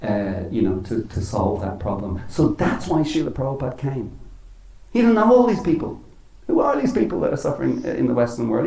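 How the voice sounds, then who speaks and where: A man's fairly quick speech in a Dublin accent, with audible room echo. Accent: Irish (Dublin). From Ireland. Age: 60s. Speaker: spiritual teacher. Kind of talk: religious talk. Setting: temple with audience.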